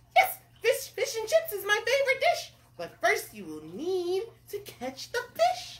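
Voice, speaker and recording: This is a put-on character voice, squeaky and extremely high in pitch. It goes along at a moderate pace. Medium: read story. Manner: demanding, imperious.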